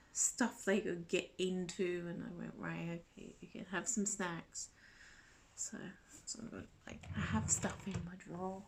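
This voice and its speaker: Speaking at a fairly slow pace, a woman shows vocal fry and big swings in loudness. Her pitch is medium, with ordinary pitch variation. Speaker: vlogger. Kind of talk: casual chat.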